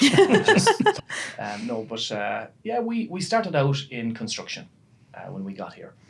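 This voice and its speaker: A man with a western Irish accent, a fairly high pitch for a man, very wide pitch swings and big swings in loudness, a fairly slow pace, and noticeable background noise. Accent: Irish (west of Ireland). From Ireland, Galway. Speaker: business executive, carpenter by trade. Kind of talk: podcast interview.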